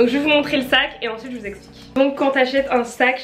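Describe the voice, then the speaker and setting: Noticeable background noise and audible room echo both come through as the woman talks. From France. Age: 20s. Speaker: fashion YouTuber. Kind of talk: unboxing vlog. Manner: casual, filler-heavy.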